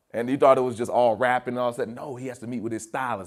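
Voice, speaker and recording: On a very clean recording with a silent background, a man speaks at a very fast pace. His voice sits at a medium pitch. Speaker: motivational speaker and keyboard player. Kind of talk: motivational speech to students. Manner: energetic, emphatic, conversational.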